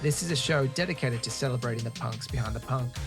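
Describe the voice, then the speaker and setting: A man talks very quickly over background music. His voice sits at a medium pitch and varies in an ordinary way. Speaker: podcast host. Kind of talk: podcast intro read.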